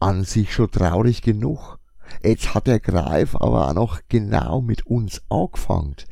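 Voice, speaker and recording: A man with a Franconian accent at a very slow pace, fairly low in pitch, with lively intonation and very even loudness. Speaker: podcaster, comic shop owner. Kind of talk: casual monologue.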